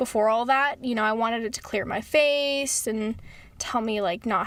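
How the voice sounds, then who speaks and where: A woman's high-pitched, animated voice at a fairly quick pace, with ordinary pitch variation. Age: 20s. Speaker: podcast co-host. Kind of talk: casual chat.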